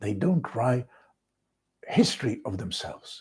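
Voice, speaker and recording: Speaking at a fairly slow pace, a man uses very wide pitch swings, vocal fry and a dark, mellow tone. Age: 60s. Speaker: vlogger. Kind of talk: casual monologue.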